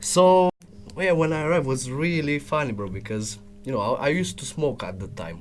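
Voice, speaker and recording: Music plays in the background as a man talks at a fairly quick pace. His voice is fairly high-pitched, with very wide pitch swings. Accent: Romanian. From Romania. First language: Romanian. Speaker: business development salesman. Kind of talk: casual chat. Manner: halting.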